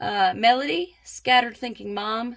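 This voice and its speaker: In a very clean recording with a silent background, a woman speaks with a slight Southern US accent. Her fairly high voice has a bright, sharp tone. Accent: slight Southern twang. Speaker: budgeting vlogger. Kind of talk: casual vlog.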